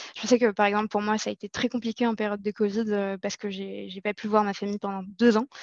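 A woman speaks at a medium pitch in a monotone, flat intonation. The sound is dry and close, with no echo. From Morocco, Casablanca. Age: 20s. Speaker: marketing manager. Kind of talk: interview. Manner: halting, many hesitations.

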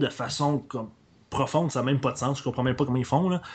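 Somewhat breathy, this man's voice sits at a fairly high pitch with ordinary pitch variation. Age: 20s. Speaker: podcaster. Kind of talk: casual chat.

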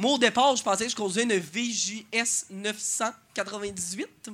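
A man speaks at a high pitch. His voice is raised and projected. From Beauce, Quebec. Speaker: stand-up comedian. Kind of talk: stand-up. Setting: stage with live audience.

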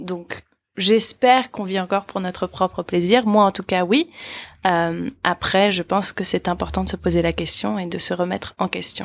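In a dry, close recording with no echo, a woman talks at a moderate pace with a medium pitch, ordinary pitch variation, and a plain, everyday voice. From United States. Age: 20s. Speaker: podcast co-host. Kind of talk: casual discussion.

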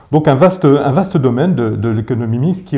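Lively intonation from a man at a medium pitch, with a dark, mellow tone and vocal fry. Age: 50s. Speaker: urban renewal company director. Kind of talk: interview. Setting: his office. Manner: halting, many repetitions and fillers.

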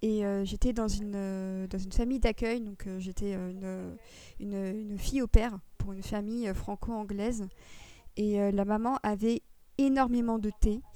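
A woman talks slowly-ish in a fairly high pitch with a dark, mellow tone. Her intonation is monotone and flat. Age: 20s. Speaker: podcast co-host. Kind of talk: casual chat.

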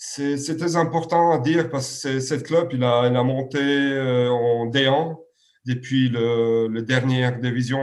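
Over audible room echo, a man of medium pitch speaks very slowly with fairly even intonation. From Serbia. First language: Serbian (speaking French). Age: 30s. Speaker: handball coach. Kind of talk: interview. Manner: halting, many repetitions and fillers.

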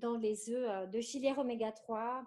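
A woman speaks at a high pitch. Her intonation stays fairly even. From northern France, near Lille. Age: 30s. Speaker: sustainable food consultant. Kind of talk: interview. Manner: halting, many repetitions.

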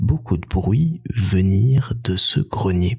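Noticeable background noise sits behind a man with a fairly low pitch. His tone is playful and calm, with lively intonation. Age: 30s. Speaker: podcast host. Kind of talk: bedtime story telling, warm personal Christmas anecdote told as a gentle tale. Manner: slow, soft and cozy, calm storyteller pacing with wistful warmth; intimate and nostalgic, lightly playful about the little goblins and mice.

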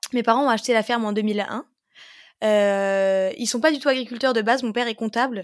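A woman speaks at a fairly quick pace in a fairly high voice, recorded very cleanly against a silent background. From Moselle, France (Pange, near Metz). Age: 20s. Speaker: organic market gardener. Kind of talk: casual interview. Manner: cheerful, energetic.

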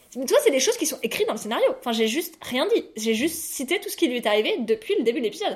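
Very wide pitch swings mark this woman's high voice. She talks at a very fast pace with hardly any pauses. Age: 20s. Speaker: podcast co-host, journalist. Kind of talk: casual chat.

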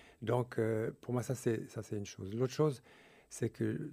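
Here a man talks with vocal fry. His tone is dark and mellow. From Switzerland. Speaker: author and couples workshop leader. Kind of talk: radio interview. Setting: radio studio. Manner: halting, with many fillers.

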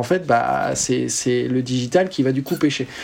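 Over noticeable background noise, a man talks with a medium pitch. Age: 30s. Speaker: tech company founder and CEO. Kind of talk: interview. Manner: hesitant, many fillers.

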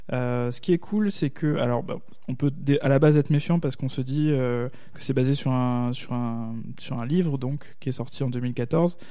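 At a fairly slow pace, a man speaks at medium pitch with ordinary pitch variation and audible room echo. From Alsace. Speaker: podcaster. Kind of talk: casual chat.

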